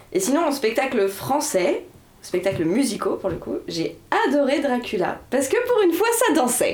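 Through noticeable background noise, a woman speaks at a moderate pace. Her high pitch moves in very wide swings. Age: 20s. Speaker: dancer, podcast co-host. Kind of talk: casual chat. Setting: student bedroom.

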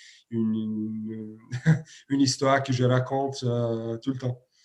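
A man with a Serbian accent and fairly even intonation. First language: Serbian (speaking French). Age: 30s. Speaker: handball coach. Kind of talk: interview. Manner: halting, many repetitions and fillers.

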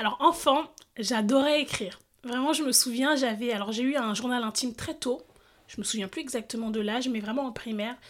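Very clean and set against a silent background, this recording features a woman with a high pitch. She talks at a fairly quick pace with ordinary pitch variation. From France, Seine-Saint-Denis. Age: 30s. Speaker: lawyer and local politician. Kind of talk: interview conversation. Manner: hesitant, many fillers.

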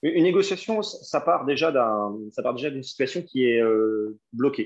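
Against a quiet background, a man talks very slowly. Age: 30s. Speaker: former police negotiator. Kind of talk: interview. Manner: halting.

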